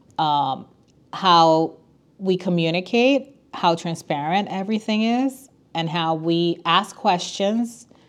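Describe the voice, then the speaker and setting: Against a quiet background, a woman with a Spanish accent speaks in a fairly low pitch. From Puerto Rico. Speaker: attorney and school council parent chair. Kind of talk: podcast interview.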